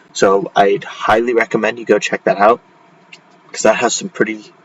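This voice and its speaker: Noise is noticeable in the background. The pace stays moderate. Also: man. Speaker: educational YouTuber, AP exam tutor. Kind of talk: tutorial. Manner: halting, many fillers; casual.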